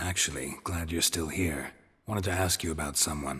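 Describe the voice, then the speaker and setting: Using a put-on character voice, a man speaks at a moderate pace in a raspy, very deep, low pitch. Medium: video game. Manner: dry, terse.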